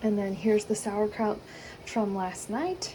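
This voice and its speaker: A woman talks while noticeable background noise sounds behind her. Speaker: homemaker vlogger. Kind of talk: casual vlog narration. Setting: home kitchen. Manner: casual, hesitant with fillers.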